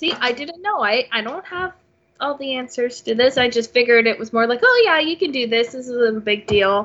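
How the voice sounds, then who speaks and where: A woman with a Canadian accent speaks at a high pitch and a fairly quick pace, with lively intonation and big swings in loudness. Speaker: podcast host. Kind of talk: casual chat.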